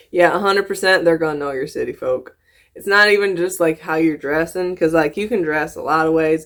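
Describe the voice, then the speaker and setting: In a very clean recording with a silent background, a woman with a slight Southern US accent talks at a fairly quick pace with ordinary pitch variation. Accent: slight picked-up Southern. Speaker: YouTuber reacting to videos. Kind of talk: reaction commentary. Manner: animated, halting with repeats.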